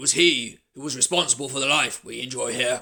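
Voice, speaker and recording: In a raspy, put-on character voice, a man talks at a moderate pace and a fairly high pitch. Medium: read story. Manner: warm, good-humoured.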